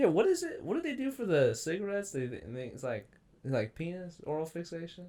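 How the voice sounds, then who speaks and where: A man at a very fast pace, high in pitch, with very wide pitch swings and big swings in loudness. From Kansas City area. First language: Mandarin Chinese. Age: 20s. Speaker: podcast host, comedian. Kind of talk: casual chat. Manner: halting.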